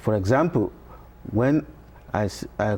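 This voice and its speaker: The tone is dark and mellow. A man speaks with lively intonation. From Nigeria. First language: Yoruba. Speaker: professor. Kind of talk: TV interview. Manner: halting.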